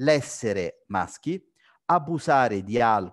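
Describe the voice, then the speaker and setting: With lively intonation, a man talks at a fairly slow pace in a dry, close sound with no echo. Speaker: physician, sleep-disordered breathing specialist. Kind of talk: lecture. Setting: video call.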